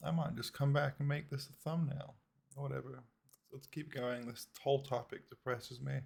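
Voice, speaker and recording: A man's fairly high, somewhat breathy voice with a British accent, fairly even intonation, and a moderate pace. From Britain, left at age five. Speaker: reaction video creator. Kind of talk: reaction commentary. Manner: casual, conversational.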